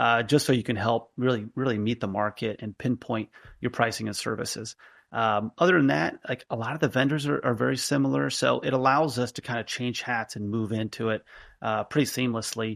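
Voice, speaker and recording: Recorded very cleanly against a silent background, a man speaks at a medium pitch with ordinary pitch variation, the sound dry and close with no echo. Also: fairly quick pace. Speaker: healthcare business founder and CEO. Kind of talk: podcast interview. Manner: fast; conversational with frequent fillers.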